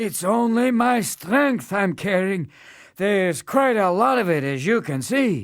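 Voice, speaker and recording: A man performs a put-on character voice at a high pitch with very wide pitch swings and a fairly slow pace. The recording is very clean, with a silent background. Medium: read story. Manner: weary, groaning.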